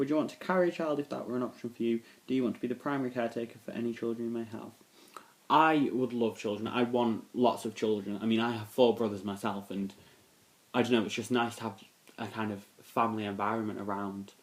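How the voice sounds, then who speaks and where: A man at a very fast pace with ordinary pitch variation. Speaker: vlogger. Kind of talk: casual Q&A vlog. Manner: hesitant, many fillers.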